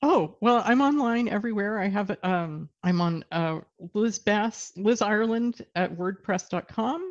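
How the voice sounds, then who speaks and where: With an American accent, this is an unremarkable speaking voice with lively intonation at a fairly slow pace. The background is quiet. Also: woman. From Texas. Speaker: novelist. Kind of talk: casual interview.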